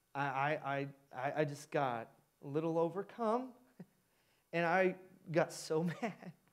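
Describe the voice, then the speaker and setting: Against a quiet background, the speaker talks very slowly with an American accent and ordinary pitch variation. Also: man, fairly high pitch for a man. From US Midwest, Indiana. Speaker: pastor. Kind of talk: sermon. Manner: animated. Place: church. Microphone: headset.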